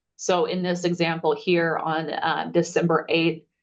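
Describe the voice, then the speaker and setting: A woman speaks at a fairly low pitch. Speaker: eligibility webinar presenter. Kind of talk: webinar Q&A. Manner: fast.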